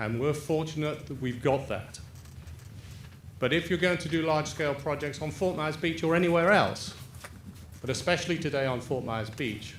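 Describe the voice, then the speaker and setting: A fairly high-pitched, somewhat breathy male voice in an English accent, at a moderate pace with ordinary pitch variation and long, frequent pauses, amid audible room echo. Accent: English, still noticeable. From England. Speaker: property developer. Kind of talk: public presentation.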